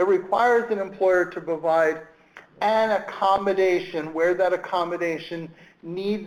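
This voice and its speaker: Speaking in a Brooklyn accent, a man uses a high pitch and fairly even intonation at a moderate pace. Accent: Brooklyn New York. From Brooklyn, New York. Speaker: government employment rights official. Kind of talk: webinar presentation. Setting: online webinar.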